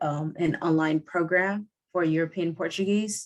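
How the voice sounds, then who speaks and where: A woman talks at a fairly slow pace in a fairly low pitch with fairly even intonation. It is an ordinary speaking voice. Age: 30s. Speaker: podcaster and language learner. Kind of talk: interview. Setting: video call.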